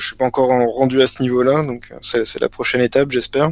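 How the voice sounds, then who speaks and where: A man speaks at a medium pitch in a monotone, flat delivery. His pace is fairly quick. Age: 20s. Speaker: card game player. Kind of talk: casual interview.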